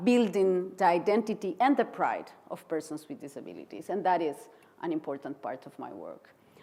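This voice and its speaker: A woman with a Costa Rican accent, dark and mellow in tone, lively in intonation, at a moderate pace. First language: Spanish. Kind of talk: conference keynote speech. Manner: halting.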